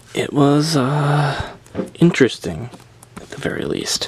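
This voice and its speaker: Soft-spoken and fairly slow, the speech comes through noticeable background noise. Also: man. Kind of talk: ASMR soft-spoken game collection talk.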